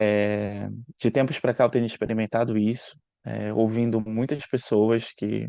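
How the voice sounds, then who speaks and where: A man's dark, mellow voice at medium pitch, dry and close with no echo. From northern Brazil, Belém do Pará. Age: 30s. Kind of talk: short talk/presentation. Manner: hesitant, many fillers and repetitions.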